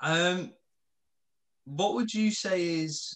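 Speaking very slowly, a man talks in a British accent. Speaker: podcast co-host. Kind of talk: interview. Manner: halting.

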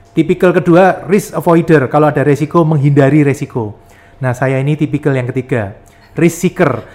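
With a Yogyakarta accent, a man speaks at a moderate pace with lively intonation. There is noticeable background noise. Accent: Javanese (Jogja). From Yogyakarta, Java, Indonesia. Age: 40s. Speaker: property investor and entrepreneur. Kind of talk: podcast interview.

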